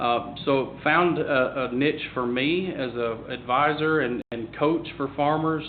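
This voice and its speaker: A man with a Southern US accent and fairly even intonation, over noticeable background noise. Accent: Southern drawl. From US South, Tennessee. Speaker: agricultural advisor. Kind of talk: panel discussion. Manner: halting.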